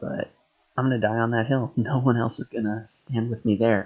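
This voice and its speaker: The voice is quiet, with fairly even intonation. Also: man. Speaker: gaming streamer. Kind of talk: live game stream chat. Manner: speaking quietly.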